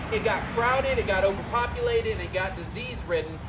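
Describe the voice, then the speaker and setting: A fairly quick pace amid noticeable background noise. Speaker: ghost tour guide. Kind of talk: guided tour talk. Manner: fast.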